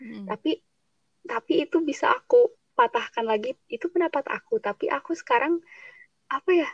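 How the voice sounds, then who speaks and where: Very wide pitch swings and big swings in loudness, delivered at a moderate pace. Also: woman, extremely high pitch for a woman. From Subang, West Java. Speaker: university student. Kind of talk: casual chat. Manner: blunt, outspoken.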